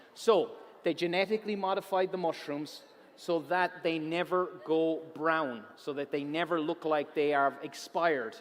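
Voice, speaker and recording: Using an animated tone and an Irish accent, a man speaks at a moderate pace with a fairly high pitch and ordinary pitch variation. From Ireland. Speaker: science presenter. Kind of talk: public science talk. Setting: auditorium stage with audience.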